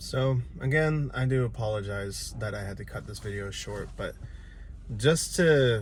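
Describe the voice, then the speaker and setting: A man's voice with ordinary pitch variation, audible room echo and noticeable background noise. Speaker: paranormal explorer vlogger. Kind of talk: vlog narration. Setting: outdoors in the woods. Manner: speaking quietly.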